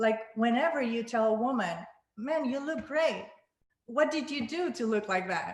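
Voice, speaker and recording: With a Spanish accent, a woman speaks at a moderate pace in a high voice with lively intonation, and audible room echo surrounds her. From Panama. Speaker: singer-songwriter. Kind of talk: panel discussion. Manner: halting.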